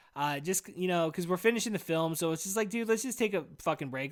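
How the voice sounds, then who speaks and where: Loud and high-pitched, a man talks with ordinary pitch variation on a very clean recording with a silent background. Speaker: podcast host. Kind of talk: casual rant. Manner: rambling, halting.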